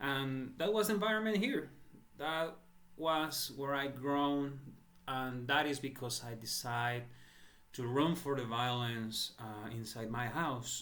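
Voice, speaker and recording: With a Spanish accent, a man speaks at a very slow pace with a fairly high pitch and ordinary pitch variation. Audible room echo surrounds his voice. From El Salvador. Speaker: entrepreneur seeking crowdfunding. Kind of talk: personal appeal. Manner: halting.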